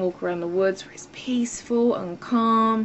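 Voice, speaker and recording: A woman with an English accent speaks with lively intonation. There is noticeable background noise. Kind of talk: casual talk to camera. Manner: irritated, ranting.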